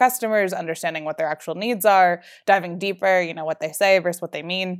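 The recording is very clean, with a silent background. A woman with an American accent and an unremarkable speaking voice talks at a fairly low pitch with ordinary pitch variation. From New Jersey. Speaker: startup founder. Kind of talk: interview.

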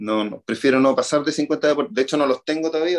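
A man's voice with ordinary pitch variation comes through in a very clean recording with a silent background, dry and close with no echo. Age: 40s. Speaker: triathlon coach. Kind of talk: interview.

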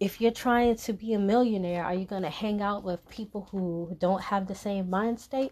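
A woman speaks at a moderate pace in a medium pitch with fairly even intonation, an ordinary speaking voice. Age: 30s. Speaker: solo podcast host. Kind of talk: casual solo monologue.

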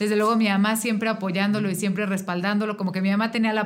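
A woman speaks at a medium pitch in a flat, monotone way. Room echo can be heard. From Mexico (Querétaro). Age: 30s. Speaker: political candidate. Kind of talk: interview.

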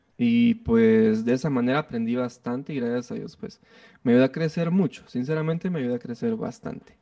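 Talking at a fairly quick pace, a man uses a medium pitch and a dark, mellow tone with ordinary pitch variation. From Guatemala. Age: 20s. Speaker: music producer and bassist. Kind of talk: interview.

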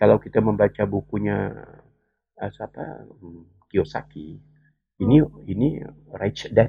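A man with a fairly low pitch talks at a fairly slow pace, leaving long, frequent pauses. His intonation is lively, and his loudness swings widely. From West Kalimantan, Indonesia (Sambas regency). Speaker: education expert. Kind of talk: interview.

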